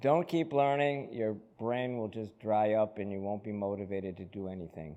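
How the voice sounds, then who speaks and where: In an American accent, a dark, mellow voice moves at a moderate pace with ordinary pitch variation. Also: man. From US Northeast, Holyoke, Massachusetts. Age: 70s. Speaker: business owner, chiropractor. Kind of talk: interview. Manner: halting, repeats words.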